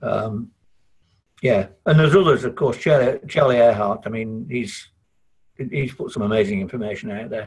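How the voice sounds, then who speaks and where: A man's somewhat breathy voice at a medium pitch, with a northern English accent, a moderate pace, ordinary pitch variation and big swings in loudness. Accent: broad northern English. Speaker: IT consultant. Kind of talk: podcast interview. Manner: halting, many repetitions.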